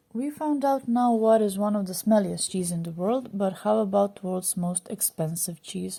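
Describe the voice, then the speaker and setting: Speaking at a moderate pace, a woman with a medium pitch sounds somewhat breathy, with a dark, mellow tone and ordinary pitch variation. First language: not English. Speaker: food channel narrator. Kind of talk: scripted narration.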